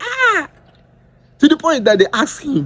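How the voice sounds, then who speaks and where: This speaker talks at a moderate pace with a Nigerian accent. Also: man. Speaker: political commentator. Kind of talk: political commentary video. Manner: animated.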